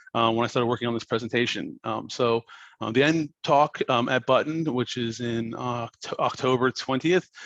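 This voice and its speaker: A man's medium-pitched voice, with fairly even intonation, sounds dry and close with no echo. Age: 30s. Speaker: content designer, conference speaker. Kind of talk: conference talk. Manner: fast; casual, hesitant with many fillers.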